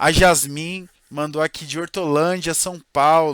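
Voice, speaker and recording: A man's fairly high-pitched voice. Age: 20s. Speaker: marketing consultant and workshop presenter. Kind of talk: live online workshop. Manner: casual, conversational.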